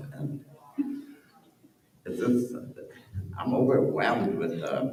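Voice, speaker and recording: At a very slow pace with long, frequent pauses, the voice makes very wide pitch swings amid audible room echo. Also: man. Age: 70s. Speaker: actor. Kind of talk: panel discussion.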